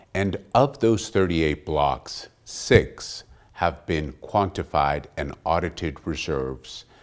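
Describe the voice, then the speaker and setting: A man speaks with a very deep, low pitch, vocal fry and lively intonation. The recording is very clean, with a silent background. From Texas. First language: Portuguese. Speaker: oil company executive. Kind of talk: business interview.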